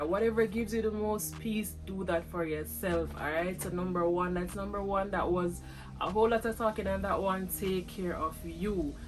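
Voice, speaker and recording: Amid audible room echo and background music, a woman speaks at a moderate pace. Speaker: lifestyle vlogger. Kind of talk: casual vlog talk to camera.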